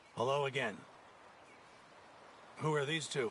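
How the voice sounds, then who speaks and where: A man does a put-on character voice, raspy and fairly high-pitched. He talks at a moderate pace over clear background noise. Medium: video game. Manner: calm, measured.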